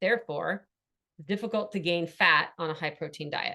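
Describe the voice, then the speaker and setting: A woman's fairly low-pitched voice, ordinary in its pitch variation, at a fairly quick pace. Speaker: wellness coach. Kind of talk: online workshop presentation. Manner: fast.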